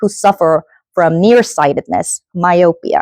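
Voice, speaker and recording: A woman with a Korean accent speaks in a dark, mellow tone, the sound dry and close with no echo over a quiet background. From South Korea. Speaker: event host and keynote speaker. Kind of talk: keynote speech. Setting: stage with audience at a workshop.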